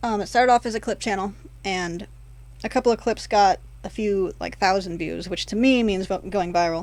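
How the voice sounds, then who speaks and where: The speaker uses fairly even intonation at a fairly quick pace. The recording is very clean with a silent background. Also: woman, medium pitch for a woman. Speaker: YouTuber. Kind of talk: casual vlog monologue. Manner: fast, words mushed together; frequent pauses and fillers.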